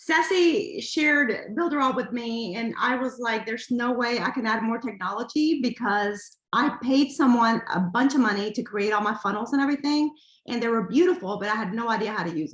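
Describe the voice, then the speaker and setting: Barely pausing, a woman talks at a fairly quick pace with lively intonation, recorded against a quiet background with audible room echo. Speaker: small business owner. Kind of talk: casual chat. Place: home room. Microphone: video call.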